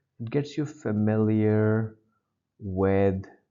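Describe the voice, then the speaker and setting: This man has a non-native accent and a fairly low pitch. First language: not English. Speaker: GRE test-prep teacher. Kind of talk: lecture.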